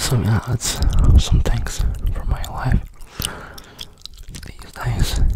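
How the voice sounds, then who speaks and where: Whispering and breathy, a man talks at a very slow pace with long, frequent pauses. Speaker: ASMR creator. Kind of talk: ASMR whisper chat. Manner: whispered, breathy. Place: home room. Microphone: studio mic.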